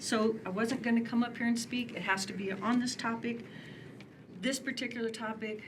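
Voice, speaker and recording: A woman speaks at a moderate pace with fairly even intonation. Audible room echo surrounds her voice. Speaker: public commenter at city meeting. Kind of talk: public comment at city commission meeting. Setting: city commission meeting with large crowd. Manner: emotional, impassioned.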